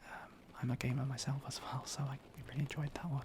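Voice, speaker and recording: The pace holds moderate. A man delivers it all in a whisper. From Britain. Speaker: ASMR creator. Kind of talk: casual talk to camera. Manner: soft-spoken, occasionally whispering.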